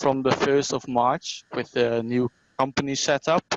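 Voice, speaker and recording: A man with a Dutch accent, monotone and flat in intonation. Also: dry, close sound with no echo. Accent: Dutch accent, self-described as terrible. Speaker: regional company manager. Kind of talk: online presentation. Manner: halting, many fillers.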